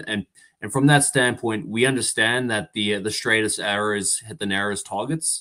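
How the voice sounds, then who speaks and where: A man's fairly low voice with ordinary pitch variation at a fairly quick pace, on a very clean recording with a silent background. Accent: South African. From South Africa, Durban. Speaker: insurance relationship manager. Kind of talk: interview.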